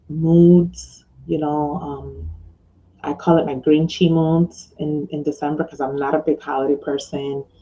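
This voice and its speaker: Loud and at a moderate pace, a woman talks with a very deep, low pitch and ordinary pitch variation. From New York. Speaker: online business mentor and blogger. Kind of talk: casual video vlog. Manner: hesitant with many fillers.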